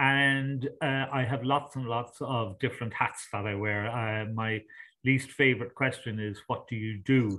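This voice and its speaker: With an Irish accent, a man talks at a fairly slow pace with fairly even intonation. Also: medium pitch for a man. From Ireland. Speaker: sustainability consultant and coach. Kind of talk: interview.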